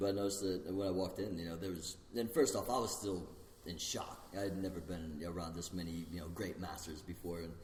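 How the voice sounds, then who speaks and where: A somewhat breathy voice at a fairly quick pace with fairly even intonation and audible room echo. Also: man, very deep, low pitch for a man. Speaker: martial arts instructor. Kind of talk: casual chat. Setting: podcast recording while eating pizza.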